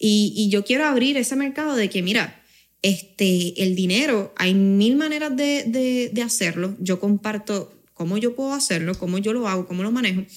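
A woman with a Puerto Rican accent speaks at a fairly high pitch and a moderate pace with lively intonation, in a very clean recording with a silent background. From Canary Islands, Spain until age 9, then Puerto Rico. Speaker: finance company co-founder. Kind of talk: casual interview.

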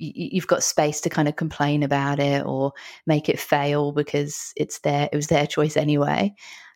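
With an English accent, a woman speaks at a moderate pace in a very deep, low pitch with fairly even intonation, the sound dry and close with no echo on a very clean recording with a silent background. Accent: English, noticeable to Australian listeners. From London, England. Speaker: psychologist and author. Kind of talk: interview conversation.

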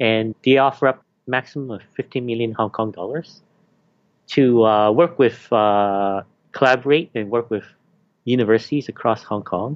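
This man has an unremarkable speaking voice at medium pitch, talking at a moderate pace with ordinary pitch variation and a Canadian accent. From Canada. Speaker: university teaching fellow. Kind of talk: interview.

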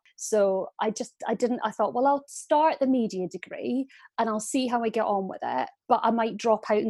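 A woman's fairly high voice with a dark, mellow tone and an Aberdonian accent, at a moderate pace with hardly any pauses. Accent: Scottish, Aberdonian. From Aberdeen, Scotland. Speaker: TV talent producer. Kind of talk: casual interview chat. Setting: video call.

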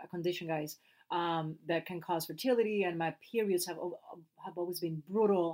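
In a very clean recording with a silent background, a woman with a Puerto Rican accent and a fairly low pitch speaks at a very fast pace, with a dark, mellow tone and fairly even intonation. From Puerto Rico. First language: Spanish. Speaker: actress and podcast co-host. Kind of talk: casual chat. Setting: home closet recording.

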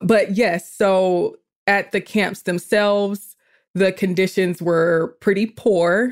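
In a very clean recording with a silent background, a woman with an American accent speaks at a medium pitch with fairly even intonation. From US South, Georgia (Atlanta area). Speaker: podcaster and writer. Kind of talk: casual chat.

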